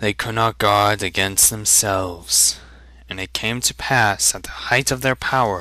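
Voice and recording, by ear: The speaker reads aloud in a natural voice with ordinary pitch variation.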